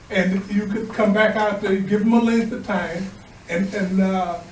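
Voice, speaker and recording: With an American accent, a man speaks high in pitch and monotone, flat in intonation, amid noticeable background noise and audible room echo. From US Midwest, South Bend, Indiana. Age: 70s. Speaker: resident speaking at meeting. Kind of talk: public comment.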